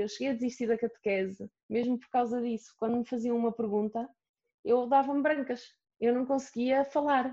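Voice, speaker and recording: Her speech has a dark, mellow tone. This woman keeps a moderate tempo and ordinary pitch variation. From Portugal, Aveiro. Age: 30s. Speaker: plus-size model. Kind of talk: interview.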